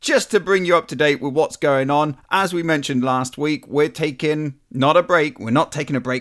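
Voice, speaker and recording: A man talks at a moderate pace with a fairly high pitch. His tone is bright, sharp, upbeat and enthusiastic. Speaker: podcast host. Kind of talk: casual intro. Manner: upbeat, enthusiastic.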